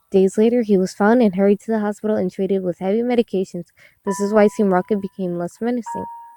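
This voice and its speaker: A woman talks very fast at a medium pitch with ordinary pitch variation, music playing in the background. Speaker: amateur creepypasta reader. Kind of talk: creepypasta reading.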